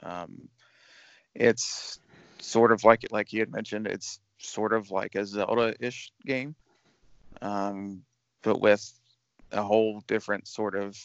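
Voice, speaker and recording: A man's fairly low, monotone voice with flat intonation at a fairly slow pace. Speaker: podcast host. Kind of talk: casual chat.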